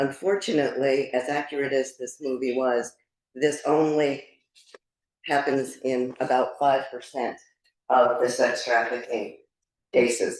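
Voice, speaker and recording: With an American accent, a woman speaks at a fairly slow pace in a very deep, low pitch, her intonation fairly even and her pauses long and frequent. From Connecticut. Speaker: guest speaker, financial advisor. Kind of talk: presentation talk. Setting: club meeting with audience.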